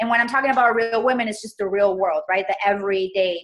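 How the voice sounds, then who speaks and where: Intonation stays fairly level as a woman talks in a Spanish accent. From Colombia, moved to US at eight. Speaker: entrepreneur and stylist. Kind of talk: interview.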